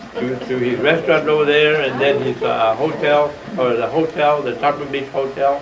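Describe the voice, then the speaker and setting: With an American accent, a man speaks at a moderate pace in a fairly high voice, keeping his intonation fairly even. Noticeable background noise and audible room echo come through. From South Texas, Port Isabel area. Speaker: retired judge. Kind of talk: oral history talk. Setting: museum presentation with audience. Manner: halting, many fillers.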